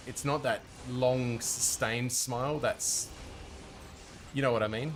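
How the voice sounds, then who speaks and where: A man speaks softly at a medium pitch. His pitch varies in an ordinary way. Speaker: gaming streamer. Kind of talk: live stream chat while gaming. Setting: at home, baby sleeping nearby. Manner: soft-spoken; casual, halting.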